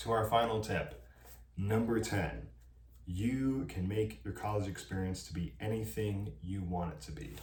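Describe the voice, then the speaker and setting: A man's fairly low-pitched voice at a fairly slow pace, with lively intonation and audible room echo. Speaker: college student vlogger. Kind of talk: advice vlog monologue. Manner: animated.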